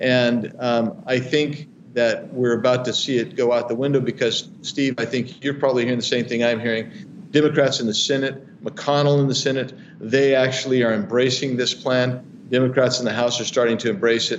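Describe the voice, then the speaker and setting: A man speaks at a medium pitch and fairly quick pace, with fairly even intonation. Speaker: congressman. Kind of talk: interview. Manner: halting.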